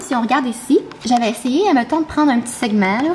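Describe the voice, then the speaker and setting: At a very fast pace, a woman speaks with high pitch and ordinary pitch variation over noticeable background noise. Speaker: vlogger. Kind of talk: casual vlog talk. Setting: home kitchen. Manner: animated.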